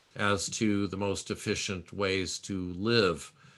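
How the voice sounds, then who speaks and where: Bright, sharp tone against a quiet background. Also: man. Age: 60s. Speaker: public health dean and professor. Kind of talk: Q&A in an online lecture. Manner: frequent hesitations (uh, um).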